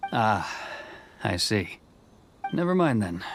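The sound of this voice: A man puts on a character voice, pitched fairly low with big swings up and down. He talks at a slow pace.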